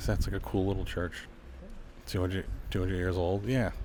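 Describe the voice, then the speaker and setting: A somewhat breathy voice at a fairly quick pace, with ordinary pitch variation and audible room echo. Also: man. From Lowell, Massachusetts. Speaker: street interviewer and tour guide. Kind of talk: casual walking tour vlog. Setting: outdoor street festival and church. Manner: casual, filler-heavy.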